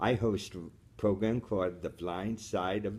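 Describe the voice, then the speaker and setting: A man's fairly low-pitched, fairly slow delivery in a plain, everyday voice. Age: 60s. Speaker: radio host, blind from birth. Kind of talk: interview.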